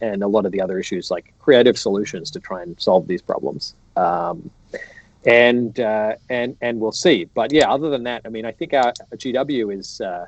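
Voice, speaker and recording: Moderate-paced speech from a man, medium in pitch, with lively intonation. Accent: Australian. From Australia. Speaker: economics professor. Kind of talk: casual interview on a livestream. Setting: online livestream. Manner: halting, many restarts and fillers.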